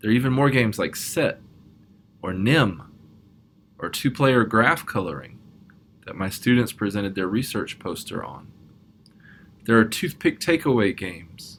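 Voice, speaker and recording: A soft-spoken man at a medium pitch and moderate pace, with lively intonation and long, frequent pauses, on a very clean recording with a silent background. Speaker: math professor. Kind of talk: recorded conference talk.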